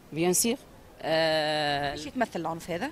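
A woman talks at a fairly slow pace with lively intonation. The sound is dry with no echo, over light background noise. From Sidi Bouzid, Tunisia; Tunisia. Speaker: woman interviewed on the street, activist; interviewee. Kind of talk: street interview. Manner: animated. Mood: earnest, engaged about women's rights. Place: street. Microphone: handheld.

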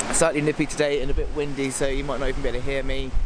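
Background noise is noticeable as a man speaks, with a dry sound and no echo. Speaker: vlogger. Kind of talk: casual vlog chat.

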